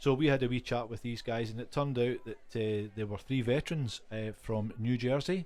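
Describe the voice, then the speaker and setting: A man's medium-pitched voice with a Glasgow accent, dark and mellow in tone, with fairly even intonation. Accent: West of Scotland (Glasgow area) Scottish. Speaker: podcast co-host. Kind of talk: casual chat. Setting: pub shed, informal recording.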